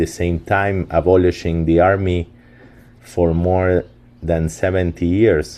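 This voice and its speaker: A man with a Spanish accent, very deep, low pitch, dark, mellow tone and very slow pace. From Argentina, Buenos Aires. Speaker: company founder. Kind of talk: webinar presentation. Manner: halting, many fillers.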